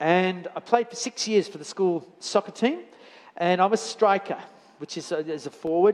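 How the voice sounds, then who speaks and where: Speaking at a fairly slow pace with an Australian accent, a man uses a high pitch and ordinary pitch variation. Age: 60s. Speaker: church elder preaching. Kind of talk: sermon. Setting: church with congregation. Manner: halting, many fillers and repeats.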